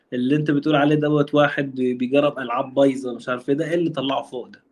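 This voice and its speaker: A man's very fast, flat, monotone delivery at a fairly high pitch. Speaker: anime fan guest. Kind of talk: casual chat.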